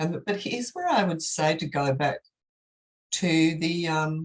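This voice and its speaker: A woman's very deep, low voice, somewhat breathy, with an Australian accent. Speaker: professor. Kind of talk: academic Q&A answer.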